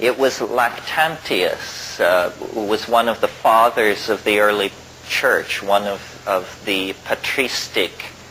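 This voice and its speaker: Very slow speech from a man, with noticeable background noise. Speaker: lecturer, philosopher. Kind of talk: lecture to an audience.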